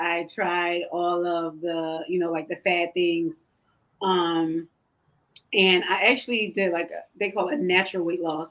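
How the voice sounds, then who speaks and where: A woman with an American accent and medium pitch. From Philadelphia, US Northeast. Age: 30s. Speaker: pastor's wife and health coach. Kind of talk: talk show interview.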